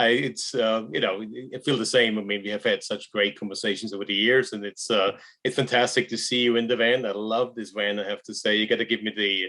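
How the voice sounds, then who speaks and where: A man with an Austrian accent, bright, sharp tone, fairly even intonation and fairly quick pace. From Austria, Graz. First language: German. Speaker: wealth management research director. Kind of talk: casual interview.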